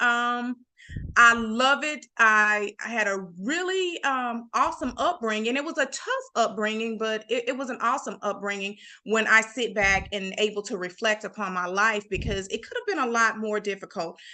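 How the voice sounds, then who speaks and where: A woman talks at a moderate pace in a Louisiana accent. Her pitch is fairly high and her tone bright and sharp. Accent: Southern US (Louisiana). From Louisiana, near Vicksburg, Mississippi. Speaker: Marine veteran. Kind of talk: interview. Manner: halting, many fillers.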